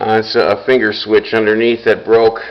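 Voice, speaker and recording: A man with a medium-pitched voice speaks at a fairly slow pace against noticeable background noise. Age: 60s. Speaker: audio equipment restorer. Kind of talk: product walkthrough. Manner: casual, halting with fillers.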